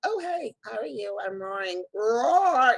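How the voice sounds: A put-on character voice at a fairly high pitch moves along at a fairly slow pace.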